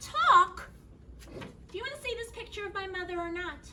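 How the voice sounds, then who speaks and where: Putting on a squeaky character voice in an extremely high pitch, a woman talks at a fairly quick pace with lively intonation and big swings in loudness over clear background noise. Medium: stage play. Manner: brisk, forward, theatrical.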